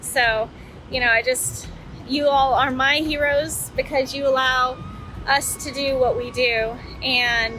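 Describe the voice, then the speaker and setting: Against noticeable background noise, a woman speaks at a high pitch with fairly even intonation and long, frequent pauses. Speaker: horse rescue leader. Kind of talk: live stream vlog.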